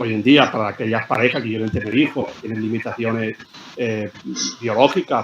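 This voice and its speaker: Noticeable background noise under a man's medium-pitched, fairly quick speech. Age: 70s. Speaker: scientist. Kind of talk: interview. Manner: halting, with frequent repetitions.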